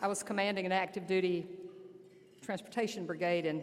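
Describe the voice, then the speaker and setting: Very fast talk from a woman with an Alabama accent, fairly low in pitch and fairly even in intonation, against noticeable background noise. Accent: Southern US (Alabama). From US South, southern Alabama. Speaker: army general. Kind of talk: keynote speech. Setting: luncheon banquet with audience. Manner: loud.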